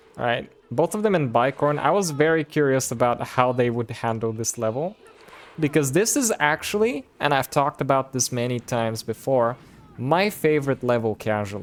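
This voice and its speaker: With music in the background, a man with a slight Bulgarian accent speaks at a medium pitch and a moderate pace, his intonation lively. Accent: near-accentless English, slight Bulgarian. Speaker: streamer. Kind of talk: live game commentary; casual chat with viewers. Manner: casual, filler-heavy.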